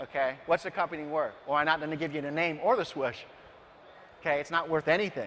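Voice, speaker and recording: A man is talking here. He speaks at a fairly high pitch. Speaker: branding speaker. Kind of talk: seminar talk. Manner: fast.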